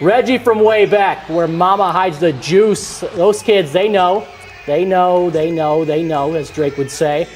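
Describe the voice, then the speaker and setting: Over music in the background, a man with a high pitch and ordinary pitch variation talks at a fairly slow pace. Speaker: sports anchor and reporter. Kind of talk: TV sports news anchoring and reporting. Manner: upbeat, playful.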